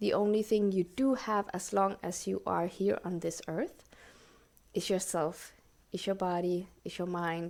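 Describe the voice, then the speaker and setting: A woman's medium-pitched voice, fairly slow and fairly even in intonation, in a very clean recording with a silent background. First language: not English. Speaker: podcast host. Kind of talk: solo podcast talk. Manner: halting, searching for words.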